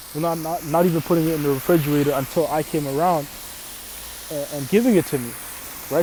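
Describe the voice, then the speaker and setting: Over noticeable background noise, a man with a fairly high pitch talks at a very fast pace with ordinary pitch variation and long, frequent pauses. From Canada. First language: Arabic. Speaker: religious teacher. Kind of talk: sermon. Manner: casual, repetitive with fillers.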